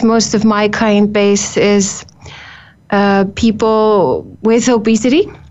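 This woman has an Icelandic accent and a fairly high pitch. She speaks at a very slow pace. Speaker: nutritionist. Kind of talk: interview. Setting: studio.

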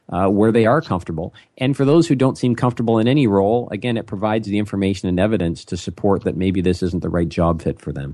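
In a Canadian accent, a man speaks at a very fast pace with hardly any pauses. His intonation is lively, and the background is quiet. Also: fairly low pitch for a man. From Ontario, Canada. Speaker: business consultant. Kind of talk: interview.

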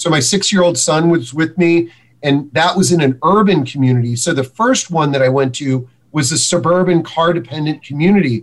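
With a normal speaking voice, a man speaks fairly quickly at a fairly high pitch, his loudness very even and his pitch varying in an ordinary way. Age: 50s. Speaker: senior housing publisher. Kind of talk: interview.

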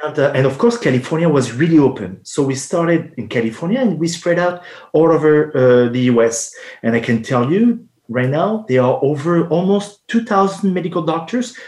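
A man talks at a fairly high pitch in a French accent. His pitch swings very widely at a moderate pace. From France. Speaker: homeopathic pharmacist. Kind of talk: interview. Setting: live radio show, remote.

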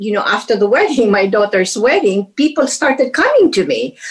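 A woman's voice at a high pitch. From Philippines. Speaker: retired business executive. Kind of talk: interview.

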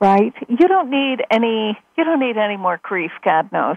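Using a normal speaking voice, a woman with a fairly high pitch talks at a fairly slow pace with lively intonation. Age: 60s. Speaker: spiritual teacher and author. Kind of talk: radio interview.

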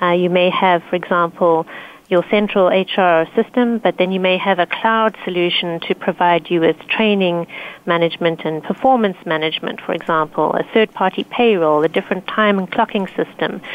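An ordinary speaking voice at a moderate pace with fairly even intonation. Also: woman, medium pitch for a woman. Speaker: security consultant team lead. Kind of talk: panel discussion.

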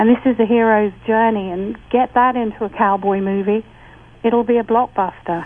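With an English accent, a woman speaks at a moderate pace in a fairly high pitch, her intonation monotone and flat. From England. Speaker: author and spiritual teacher. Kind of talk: casual chat.

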